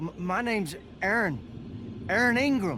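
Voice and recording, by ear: Putting on a character voice, a man speaks slowly at a high pitch with a bright, sharp tone and lively intonation.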